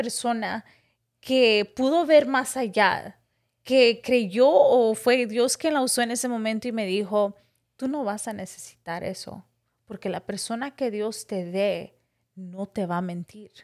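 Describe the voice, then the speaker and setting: Fairly slow and fairly high, a woman talks in a plain, everyday voice with ordinary pitch variation. The recording is very clean, with a silent background. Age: 30s. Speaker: podcast host. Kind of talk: casual chat. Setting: studio.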